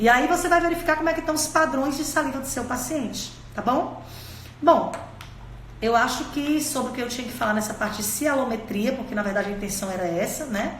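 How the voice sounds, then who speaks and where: A woman talks with a high pitch. Noticeable background noise and audible room echo are present. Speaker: dentistry teacher. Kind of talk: live-streamed lecture. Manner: fast.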